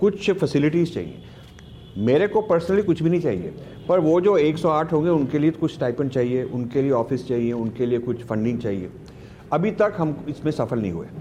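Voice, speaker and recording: Lively intonation marks this man's ordinary speaking voice, which sits at a fairly high pitch. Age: 60s. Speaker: author and foundation head. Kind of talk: conversational interview.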